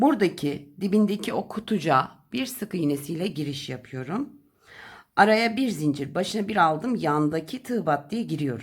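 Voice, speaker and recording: In a very clean recording with a silent background, a woman speaks in a fairly low, somewhat breathy voice with very wide pitch swings. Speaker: crochet tutorial host. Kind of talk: tutorial. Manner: slow counting instructions.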